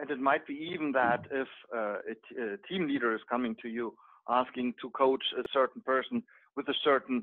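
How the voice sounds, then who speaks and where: The background is quiet. A man with a German accent speaks at a moderate pace. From Germany. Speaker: project manager and hobby agile coach; hobby agile coach. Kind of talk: group discussion. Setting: video call. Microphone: video call.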